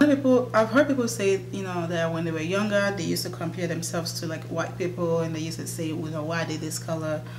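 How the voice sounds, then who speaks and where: A woman can be heard amid noticeable background noise, her voice carrying audible room echo. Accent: Nigerian. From Nigeria. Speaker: beauty YouTuber. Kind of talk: casual chat. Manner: hesitant, many fillers.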